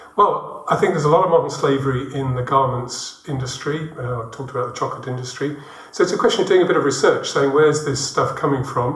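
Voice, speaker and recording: Speech moves at a very fast pace with ordinary pitch variation. Both noticeable background noise and audible room echo are present. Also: man, fairly high pitch for a man. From England, Birmingham. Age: 60s. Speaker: international development worker, church member. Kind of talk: interview testimony.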